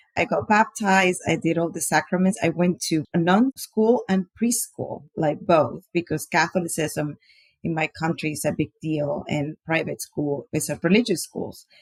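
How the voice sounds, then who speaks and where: A woman's fairly low voice in a Panamanian accent, lively in intonation with hardly any pauses, in a dry, close sound with no echo. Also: moderate pace. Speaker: podcast guest sharing faith and generosity story. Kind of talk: interview testimony.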